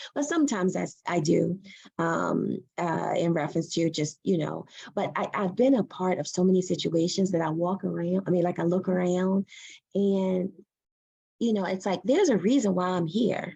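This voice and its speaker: Her tone is animated, and she is a woman with an American accent. She speaks at a moderate pace and a medium pitch with ordinary pitch variation. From US Mid-Atlantic, Prince George's County near Washington DC. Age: 40s. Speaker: physician assistant and professor. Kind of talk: Q&A talk. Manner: animated, repetitive emphasis.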